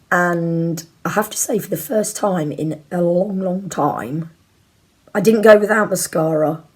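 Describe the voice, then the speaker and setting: A woman speaks quietly. Her pitch is fairly low. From Leicester, England. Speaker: YouTuber. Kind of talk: casual chat.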